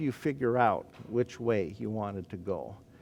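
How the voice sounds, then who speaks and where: This man's voice sits at a medium pitch, and its rise and fall is ordinary. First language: Croatian. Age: 60s. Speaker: professor. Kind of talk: lecture. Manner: frequent fillers and hesitations.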